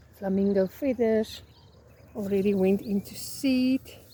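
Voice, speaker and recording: There is noticeable background noise as a woman speaks in a medium pitch with fairly even intonation. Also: long, frequent pauses. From South Africa. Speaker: flower farmer. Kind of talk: casual vlog tour. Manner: hesitant, many fillers.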